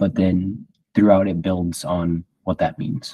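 The voice has a dark, mellow tone and a fairly slow pace, heard dry and close with no echo on a very clean recording with a silent background. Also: man. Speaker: host's son, Bible study leader. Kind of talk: Bible study discussion.

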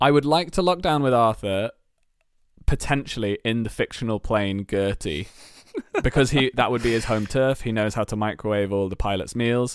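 Recorded very cleanly with a silent background and a dry, close sound with no echo, a man with a British accent speaks at a medium pitch and moderate pace with lively intonation. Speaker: comedy writer and performer. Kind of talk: casual chat.

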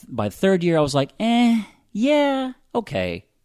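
The pitch of this man's voice swings very widely up and down. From US South, Pensacola, Florida. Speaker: audio drama writer-director and actor. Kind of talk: casual interview. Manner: halting.

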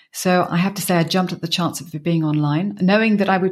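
A woman speaks at a fairly quick pace. Her voice is somewhat breathy, at a medium pitch. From Suffolk, England. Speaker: business performance coach. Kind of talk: casual interview. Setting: video call.

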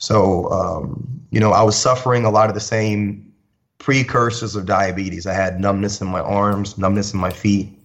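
In an unremarkable speaking voice, a man talks at a moderate pace with a fairly low pitch and fairly even intonation. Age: 30s. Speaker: fitness trainer and DJ. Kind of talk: casual chat.

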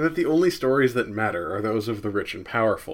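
In a plain, everyday voice with an American accent, the speaker uses lively intonation. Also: man, very clean recording, silent background. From US Northeast, New Jersey. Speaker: history podcaster. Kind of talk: scripted narration.

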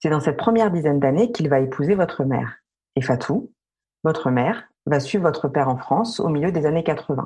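Talking at a fairly quick pace, a woman with a very deep, low pitch and a dark, mellow, somewhat breathy tone keeps her loudness very even while her intonation stays lively. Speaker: podcast host. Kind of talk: interview. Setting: remote recording.

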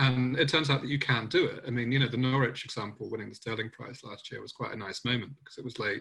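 Medium pitch and a bright, sharp tone from a man at a very fast pace. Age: 30s. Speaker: panel chair, editor. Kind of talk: panel discussion. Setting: video call. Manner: hesitant, many fillers.

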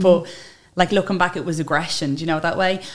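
Very fast in pace, a woman talks in a fairly low voice. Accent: Dublin. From Ireland, Dublin (Tallaght). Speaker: social media influencer. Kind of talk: interview conversation.

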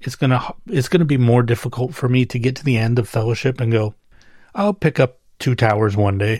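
Somewhat breathy, a man speaks at a medium pitch and fairly quick pace, his pitch varying in an ordinary way. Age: 40s. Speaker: solo book podcaster. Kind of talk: casual solo monologue. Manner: rambling, hesitant with repetitions.

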